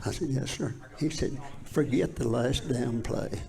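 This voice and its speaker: An Appalachian accent amid noticeable background noise and audible room echo. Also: man. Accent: Southern US (Appalachian). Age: 80s+. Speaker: former high school football player. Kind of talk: interview storytelling. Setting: live studio.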